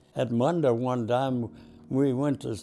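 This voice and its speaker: This is a man's voice. He speaks with a Texan accent. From Texas, Dallas. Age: 90s. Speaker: war veteran. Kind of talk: oral history interview. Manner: halting.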